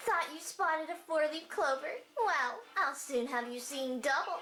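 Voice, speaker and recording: A put-on character voice over faint background music. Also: female-sounding voice, high pitch for a woman, moderate pace. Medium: dub.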